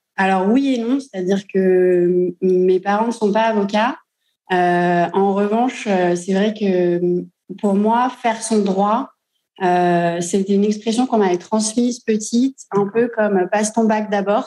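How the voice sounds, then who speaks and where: A woman speaks very slowly at a medium pitch in a dark, mellow tone. Her loudness stays very even and her intonation fairly even. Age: 30s. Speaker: lawyer. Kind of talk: interview. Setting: in an office. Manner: hesitant, many fillers.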